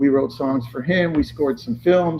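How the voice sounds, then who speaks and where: Noticeable background noise sits behind a man with an American accent, medium pitch and fairly even intonation, who speaks at a moderate pace. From Southern California (Lakewood area). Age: 70s. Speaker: car collector and former music producer. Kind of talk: casual chat. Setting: on location at a car shop.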